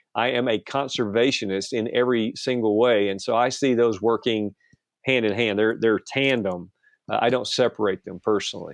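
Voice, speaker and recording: Someone talks in an ordinary speaking voice, at a moderate pace with fairly even intonation. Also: man, medium pitch for a man. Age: 60s. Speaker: pastor and outdoor TV producer. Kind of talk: interview conversation.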